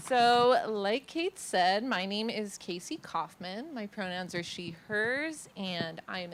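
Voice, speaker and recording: A woman with a Californian accent speaks at a medium pitch and a fairly slow pace, her intonation lively and her speech hardly broken by pauses. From Los Angeles, San Fernando Valley. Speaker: artist. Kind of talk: presentation. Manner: casual, filler-heavy.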